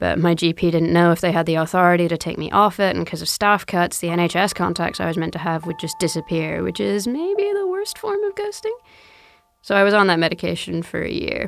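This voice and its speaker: This woman talks at a fairly quick pace with an American accent. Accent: American-tinged English from American mother. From South London. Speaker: comedian. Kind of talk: scripted monologue.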